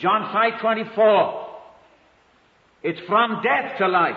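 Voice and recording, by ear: This man talks slowly at a high pitch, his intonation lively, with audible room echo around him.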